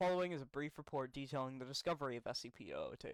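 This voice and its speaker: In a dry, close sound with no echo, a man speaks very fast at a fairly high pitch with ordinary pitch variation. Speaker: voice training practice. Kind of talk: reading wiki entries aloud. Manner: hesitant, stumbling reading.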